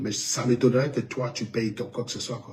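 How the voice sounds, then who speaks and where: Somewhat breathy, a man speaks at a moderate pace. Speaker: online commentator. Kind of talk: commentary video reaction. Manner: animated.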